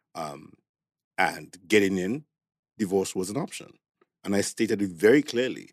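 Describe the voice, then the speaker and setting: A fairly quick man's voice, fairly low in pitch, with ordinary pitch variation. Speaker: podcast guest. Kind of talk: casual chat.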